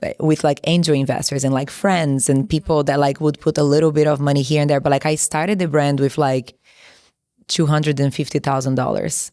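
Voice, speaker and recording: A woman with a Brazilian Portuguese accent and a very deep, low pitch, fairly quick pace, monotone, flat intonation and very even loudness, on a very clean recording with a silent background. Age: 30s. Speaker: entrepreneur, former model. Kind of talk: interview. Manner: casual, many filler words.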